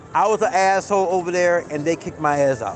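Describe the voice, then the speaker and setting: Music plays behind a man with a high pitch. He is loud. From Las Vegas, US. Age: 50s. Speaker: slot machine streamer. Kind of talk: casual live-stream monologue. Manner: stammering, repeats words.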